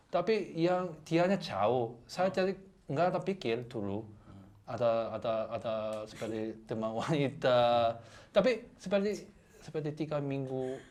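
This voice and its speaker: A man with a Korean accent speaks at a fairly slow pace, his fairly high voice swinging very widely in pitch. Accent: Korean accent in Indonesian. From South Korea. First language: Korean (speaking Indonesian). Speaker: guest, Korean husband. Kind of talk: casual chat. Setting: radio studio. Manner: halting, many repeated words.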